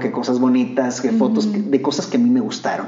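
Lively intonation marks this man's speech, which comes with audible room echo and noticeable background noise. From Mexico, Monterrey. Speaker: actor. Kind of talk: interview.

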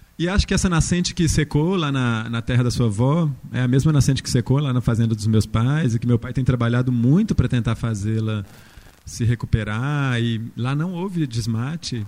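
A man talks in a plain, everyday voice at a medium pitch, with ordinary pitch variation. His pace is fairly quick. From interior of Minas Gerais, Brazil. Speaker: architect and university professor. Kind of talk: panel talk.

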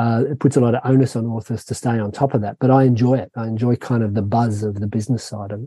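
With an Australian accent and a dark, mellow tone, a somewhat breathy man speaks in a monotone, flat way at a very fast pace with hardly any pauses, the sound dry and close with no echo. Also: medium pitch for a man. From Australia, Sydney. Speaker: thriller novelist. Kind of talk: interview.

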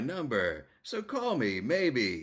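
Speaking at a very slow pace with vocal fry, a man talks in an American accent. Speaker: podcast host. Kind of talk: casual chat. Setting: at a guest's home, near a highway.

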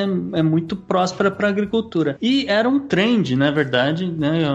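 Over background music, a man talks with very wide swings in pitch. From Brazil, São Paulo. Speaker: farm owner and beekeeper. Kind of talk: casual interview chat. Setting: remote call.

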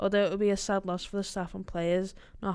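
On a very clean recording with a silent background, a woman at medium pitch speaks at a very fast pace in a monotone, flat intonation. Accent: Liverpool. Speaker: podcast host. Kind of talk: casual banter chat.

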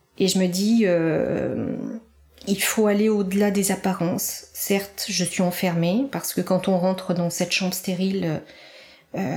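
A woman's voice at medium pitch, dark and mellow in tone, with fairly even intonation. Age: 50s. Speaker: cancer survivor and author. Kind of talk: testimony.

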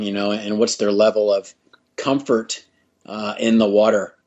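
A man speaks with an American accent. His fairly low voice stays monotone and flat. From United States. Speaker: triathlon and swim coach. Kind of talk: podcast interview. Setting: remote call.

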